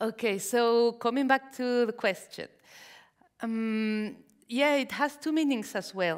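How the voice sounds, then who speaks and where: A woman with a Mexican accent, a fairly high pitch, ordinary pitch variation and a very slow pace. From Mexico. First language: Spanish. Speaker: novelist. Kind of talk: onstage interview. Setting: library event with audience. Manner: halting.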